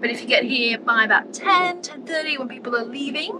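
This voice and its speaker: Speaking at a fairly quick pace with ordinary pitch variation, a woman is heard over noticeable background noise. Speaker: travel vlogger. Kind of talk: casual vlog chat. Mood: upbeat, hopeful. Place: car. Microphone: phone near.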